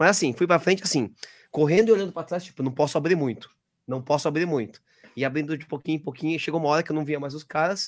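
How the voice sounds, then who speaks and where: Very fast speech, with pitch varying in a normal way. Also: man, fairly high pitch for a man, very clean recording, silent background. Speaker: podcast co-host. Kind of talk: casual chat.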